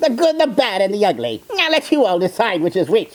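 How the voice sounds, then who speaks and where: In a put-on character voice, the speaker talks at a fairly quick pace with a fairly high pitch and very wide pitch swings. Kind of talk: character reaction video commentary. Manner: sarcastic, mocking.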